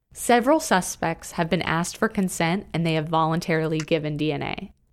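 An unremarkable speaking voice from a woman, fairly low in pitch with ordinary pitch variation, at a fairly quick pace in a very clean recording with a silent background. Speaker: podcast co-host narrator. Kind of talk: true-crime narration. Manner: measured, serious, even.

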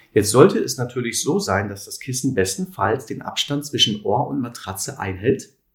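A somewhat breathy man at medium pitch, with lively intonation, a moderate pace and hardly any pauses. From Sauerland, Germany (Lüdenscheid). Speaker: physiotherapist and alternative practitioner. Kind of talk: interview.

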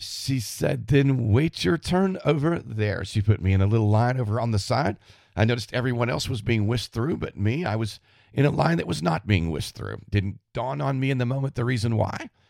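A man with a Southern US accent speaks with lively intonation on a very clean recording with a silent background. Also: medium pitch for a man. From US South, Florida panhandle. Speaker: podcast host. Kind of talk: monologue.

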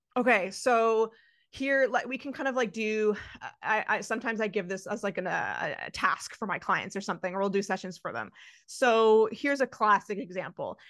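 A woman speaks at a moderate pace in a plain, everyday voice, her pitch fairly high with ordinary variation, against a quiet background. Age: 30s. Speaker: nutrition coach. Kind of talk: interview.

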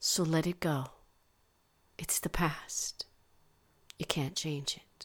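Whispering in a gentle, soothing tone, a woman goes at a very slow pace with long, frequent pauses and big swings in loudness, on a very clean recording with a silent background. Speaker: meditation guide. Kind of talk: guided meditation. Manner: slow, soothing, calm; soft-spoken, gentle, unhurried.

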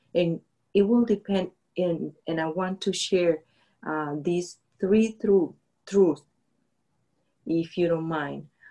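A woman's fairly low, dark, mellow voice with a non-native accent, at a very slow pace with long, frequent pauses. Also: ordinary pitch variation. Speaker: faith podcast co-host. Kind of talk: casual faith-based chat.

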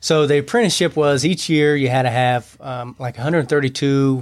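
A man's fairly even intonation on a very clean recording with a silent background. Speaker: union field representative. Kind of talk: interview. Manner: halting.

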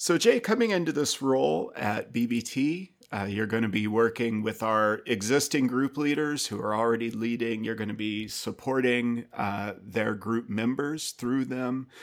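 A man speaks in a normal speaking voice at a medium pitch with ordinary pitch variation. His pace is fairly slow, with hardly any pauses. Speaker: podcast host. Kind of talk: interview, conversational.

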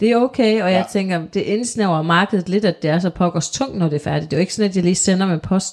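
At a very fast pace with hardly any pauses, a woman talks at a medium pitch with ordinary pitch variation. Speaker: podcast co-host. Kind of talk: casual chat.

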